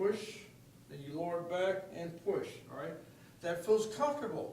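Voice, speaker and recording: Over noticeable background noise, a man speaks in an animated tone at a moderate pace. Room echo is audible. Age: 70s. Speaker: fitness coach. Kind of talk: tutorial.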